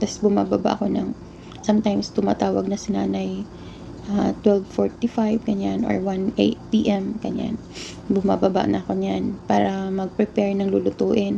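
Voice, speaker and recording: There is noticeable background noise. Through it, a woman talks at a moderate pace. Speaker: overseas domestic worker vlogger. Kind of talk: casual vlog.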